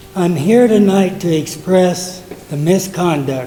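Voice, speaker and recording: Speaking very slowly with an American accent, a man uses a high pitch and fairly even intonation, with audible room echo and noticeable background noise. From southwest Colorado. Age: 80s+. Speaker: war veteran. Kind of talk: public comment. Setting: council meeting.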